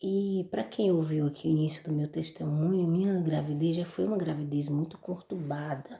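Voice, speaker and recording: The woman is soft-spoken, with a very deep, low pitch. Her pitch varies in an ordinary way. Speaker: mother giving religious testimony. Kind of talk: testimony.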